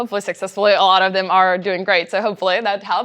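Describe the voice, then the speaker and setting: In a Czech accent, a woman talks at a very fast pace against a quiet background. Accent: noticeable Czech. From Czech Republic. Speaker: company trainer and presenter. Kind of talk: workshop presentation.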